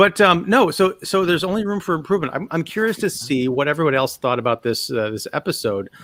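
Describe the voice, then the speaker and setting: A man with a Chicago accent talks at a very fast pace. His high voice swings very widely in pitch. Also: hardly any pauses. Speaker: podcast host. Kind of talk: casual chat.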